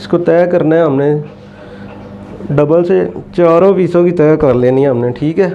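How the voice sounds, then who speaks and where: A soft-spoken man at a fairly high pitch, fairly slow with long, frequent pauses, his loudness very even, amid audible room echo and noticeable background noise. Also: ordinary pitch variation. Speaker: tailoring instructor. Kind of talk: tutorial.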